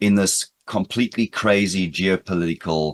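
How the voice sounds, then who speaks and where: The sound is dry and close, with no echo, and the background is quiet. A man talks at a fairly slow pace with a fairly low pitch. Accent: American. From South Africa, Britain and the United States. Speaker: cybersecurity speaker, former police officer. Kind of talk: conference presentation. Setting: remote conference talk. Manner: energetic.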